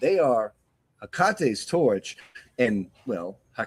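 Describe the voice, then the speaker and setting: A man with a New England accent speaks at a very slow pace, his pitch swinging very widely. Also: dry, close sound with no echo. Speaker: talk show host. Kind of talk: interview. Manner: halting.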